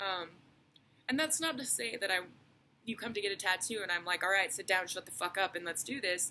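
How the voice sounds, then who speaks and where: A woman talks quietly at a fairly quick pace, with a medium pitch and a bright, sharp tone. Her intonation is lively, broken by long, frequent pauses. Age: 20s. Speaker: tattoo artist. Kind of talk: casual vlog monologue. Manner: hesitant, many fillers; quiet, reserved.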